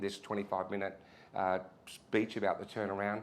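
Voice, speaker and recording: A man speaks in an Australian accent. His pitch is fairly low. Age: 60s. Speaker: retired retail executive, keynote speaker. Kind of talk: keynote speech. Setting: pub venue with audience. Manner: casual, halting with many restarts.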